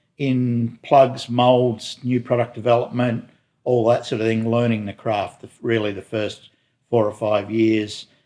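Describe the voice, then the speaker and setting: At a moderate pace, a man with an Australian accent speaks in a dark, mellow tone. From Newcastle, New South Wales, Australia. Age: 60s. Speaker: boat company executive. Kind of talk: interview. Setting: boat works garage.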